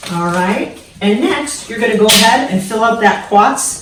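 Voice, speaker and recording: Speaking at a fairly slow pace, a woman with an American accent has a normal speaking voice, fairly high pitch and lively intonation. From San Diego, California. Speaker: hairstylist. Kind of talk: casual talk to camera, DIY tutorial. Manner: upbeat, friendly, coach-like.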